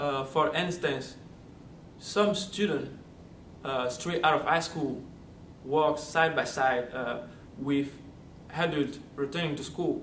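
A man with a Central African accent speaks at a very slow pace with long, frequent pauses, over light background noise and audible room echo. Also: fairly high pitch for a man, fairly even intonation. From Gabon, Central Africa. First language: French. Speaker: college student. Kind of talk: testimonial interview answer. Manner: halting, many fillers. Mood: warm, grateful. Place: studio.

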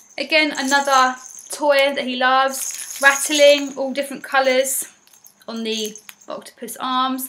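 Over light background noise, a woman uses a raised, projected voice with monotone, flat intonation at a moderate pace. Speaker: parent vlogger. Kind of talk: casual vlog chat. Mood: warm, affectionate. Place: home room. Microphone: webcam.

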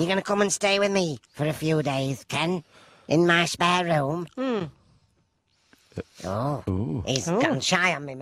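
A man at a fairly high pitch and a fairly slow pace, with very wide pitch swings and long, frequent pauses. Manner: cheery, pushy.

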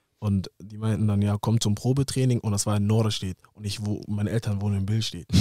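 Over a quiet background with dry sound and no echo, a man with a dark, mellow tone talks at a fairly low pitch and a fairly quick pace, with hardly any pauses and fairly even intonation. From Hamburg area, northern Germany; northern Germany. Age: 20s. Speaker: professional footballer; podcast guest. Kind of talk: casual interview. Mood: calm, reflective storytelling. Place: studio. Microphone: studio mic.

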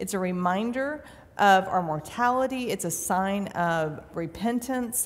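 A woman at a fairly slow pace with lively intonation. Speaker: pastor. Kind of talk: sermon. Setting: church. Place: church.

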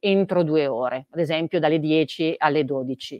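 A woman with a fairly low pitch and ordinary pitch variation speaks over a quiet background, the sound dry with no echo. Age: 40s. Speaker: chief digital officer at a retailer. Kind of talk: interview. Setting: live event in the metaverse. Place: office. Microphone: video call.

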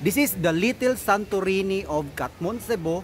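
A man's voice comes through dry, with no echo and light background noise. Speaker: travel vlogger. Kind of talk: casual vlog chat. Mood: cheerful, laughing. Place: waterside. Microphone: phone near.

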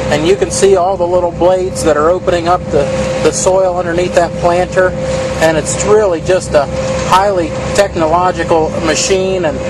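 A man speaks over loud background noise, and the sound is dry with no echo. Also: moderate pace. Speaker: farm video host. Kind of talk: tour commentary. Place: farm machine. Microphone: phone near.

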